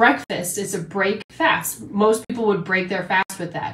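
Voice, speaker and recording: A woman speaks at a fairly slow pace. Audible room echo surrounds her voice. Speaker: health and nutrition coach; nutrition coach. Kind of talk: livestream talk. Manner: animated. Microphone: phone near.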